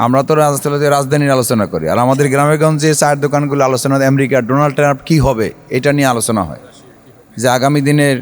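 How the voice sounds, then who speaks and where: This man talks with a normal speaking voice, pitched fairly high. His intonation stays fairly even. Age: 40s. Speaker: politician. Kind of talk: public speech.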